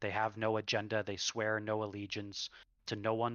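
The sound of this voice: The voice reads in an unforced way. Nothing strains in the delivery.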